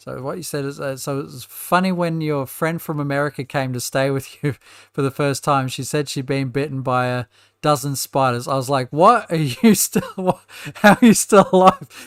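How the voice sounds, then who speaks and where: This man has an Australian accent and a fairly high pitch. The recording is very clean and dry, close with no echo and a silent background. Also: ordinary pitch variation, moderate pace. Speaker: gaming youtuber. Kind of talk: let's play commentary. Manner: halting.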